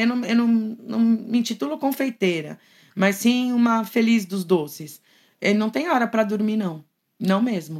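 Recorded very clean over a silent background, a normal speaking voice moves at a moderate pace with lively intonation. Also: woman. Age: 50s. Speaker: art teacher. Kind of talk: casual chat.

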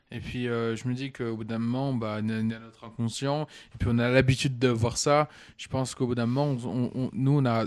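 Speaking at a moderate pace and medium pitch, a man keeps a monotone, flat intonation on a very clean recording with a silent background. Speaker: young sports bettor. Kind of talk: casual chat.

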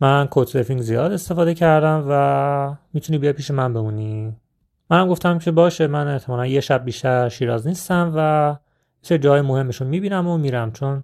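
A man's normal speaking voice, fairly high in pitch, fairly quick, with ordinary pitch variation, in a very clean recording with a silent background. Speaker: travel storytelling podcaster. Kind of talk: personal travel storytelling.

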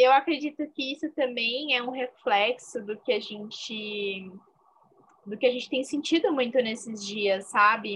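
A woman's high-pitched voice at a fairly slow pace. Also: ordinary pitch variation. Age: 20s. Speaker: fashion podcast co-host. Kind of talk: casual chat.

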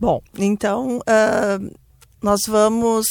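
The recording is very clean with a silent background, capturing a woman at a medium pitch. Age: 50s. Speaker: bank worker and entrepreneur. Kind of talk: radio panel discussion. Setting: studio.

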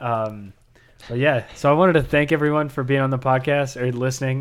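A man talks in a normal speaking voice at medium pitch and a fairly quick pace. His intonation stays fairly even. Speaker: podcast host. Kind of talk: casual interview chat.

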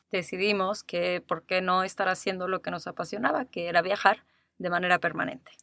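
A woman's medium-pitched voice with a Mexico City accent, bright and sharp in tone, fairly quick and fairly even in intonation, in a dry, close sound with no echo. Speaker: podcast host, life coach. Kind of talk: casual chat.

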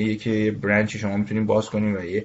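This man talks fairly quickly in a fairly low voice. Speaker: construction management firm executive. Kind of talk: interview.

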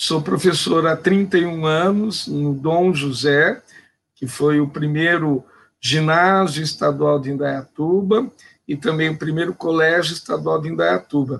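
This man's voice is fairly high in pitch with ordinary pitch variation. He speaks at a very slow pace. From Brazil, São Paulo state interior. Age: 50s. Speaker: teacher and philosopher. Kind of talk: panel discussion. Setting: live online stream.

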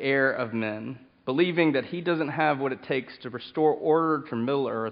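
Speaking at a medium tempo, a man keeps his intonation fairly level. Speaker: pastor. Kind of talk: sermon. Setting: church. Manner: loud.

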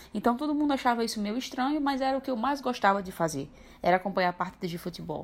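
Talking at a very fast pace, a woman uses a fairly high pitch with very wide pitch swings. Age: 20s. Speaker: interviewee sharing LGBTQIA+ experience. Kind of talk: personal testimony.

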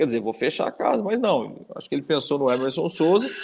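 Pitch swings very widely throughout. The recording is very clean, with a silent background. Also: man. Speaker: sports podcast co-host. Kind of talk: casual sports chat.

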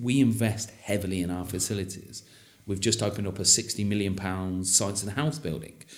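In an English accent, the speaker talks at a fairly quick pace. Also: man, fairly low pitch for a man, ordinary pitch variation. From England. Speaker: university representative. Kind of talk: interview. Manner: enthusiastic; repeats words often.

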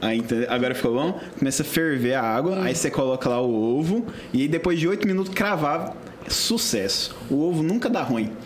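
A man speaks at a fairly high pitch with very wide pitch swings and very even loudness. Noticeable background noise and audible room echo are present. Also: fairly quick pace. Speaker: podcast co-host. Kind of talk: casual interview.

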